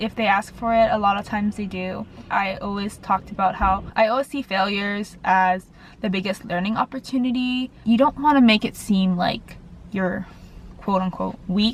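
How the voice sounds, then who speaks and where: A woman speaks at a moderate pace in a medium pitch, with fairly even intonation. Her voice is somewhat breathy. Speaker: dental school applicant vlogger. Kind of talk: casual vlog tips. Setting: in a car.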